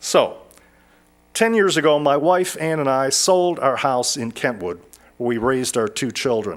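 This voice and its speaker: A man with an American accent speaks at a moderate pace, his fairly high pitch swinging very widely. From Detroit, Michigan. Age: 60s. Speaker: lay speaker. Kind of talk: personal testimony talk. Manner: halting, with repetitions.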